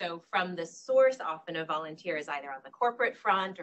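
Her pitch moves in an ordinary way as the woman talks at a moderate pace. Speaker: panel moderator. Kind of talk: event moderation introduction. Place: hall. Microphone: handheld.

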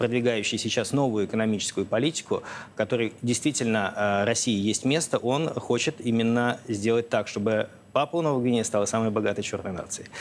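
Fairly quick delivery with ordinary pitch variation, over light background noise. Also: man. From Russia. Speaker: foundation director and researcher. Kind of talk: TV interview. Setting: TV studio. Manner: hesitant, with frequent filler sounds. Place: studio. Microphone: lapel.

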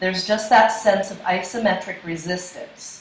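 Speaking fairly slowly, a woman is heard with audible echo from the room. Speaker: yoga instructor. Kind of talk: class instruction. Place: home room. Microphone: camera far.

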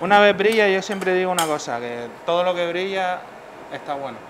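A man's high-pitched, fairly bright voice at a fairly quick pace, with ordinary pitch variation and faint background noise

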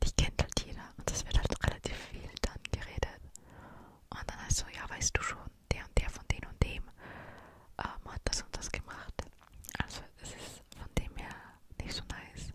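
A woman at a moderate pace with long, frequent pauses, dry sound with no echo, and loud background noise. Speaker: vlogger. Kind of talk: casual vlog chat. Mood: relaxed, chatty. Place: home room. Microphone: studio mic.

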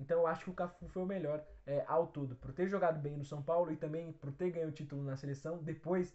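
Against a quiet background, a somewhat breathy man talks very fast at a fairly high pitch with fairly even intonation. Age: 20s. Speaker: football fan channel host. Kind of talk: solo Q&A video answering viewer questions. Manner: casual, with frequent fillers. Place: home room. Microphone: phone near.

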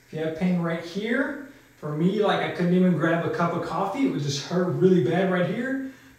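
With strong room echo around him, a man speaks in a high pitch and with ordinary pitch variation. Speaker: fitness coach. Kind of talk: tutorial. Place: studio. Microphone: camera far.

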